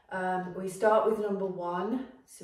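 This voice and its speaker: There is audible room echo as a woman talks at a fairly slow pace. Her pitch varies in an ordinary way. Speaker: fitness instructor. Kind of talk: workout class intro. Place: gym. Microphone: camera far.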